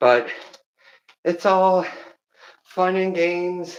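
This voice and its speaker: A man with a high-pitched voice. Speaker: livestreamer. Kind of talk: casual livestream chat while exercising.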